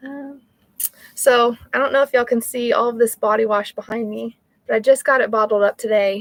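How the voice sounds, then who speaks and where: This woman talks fairly quickly in an American accent, her fairly high voice flat and monotone. Her loudness swings widely, and the sound is dry and close with no echo. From North Texas. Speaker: small soap business owner livestreaming. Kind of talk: casual livestream chat. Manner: hesitant, many fillers.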